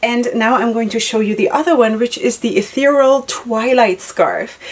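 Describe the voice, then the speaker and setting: Over noticeable background noise, a woman with a non-native accent speaks at a moderate pace with a high pitch, ordinary pitch variation and an animated tone. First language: not English. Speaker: headscarf tutorial vlogger. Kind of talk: tutorial. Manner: casual, hesitant with fillers.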